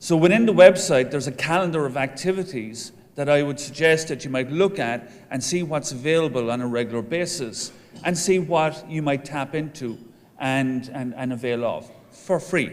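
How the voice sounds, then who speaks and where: A man with an Irish accent talks at a moderate pace with a fairly high pitch. His pitch variation is ordinary, and audible room echo surrounds his voice. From Ireland. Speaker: professor of entrepreneurship, association president. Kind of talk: conference speech.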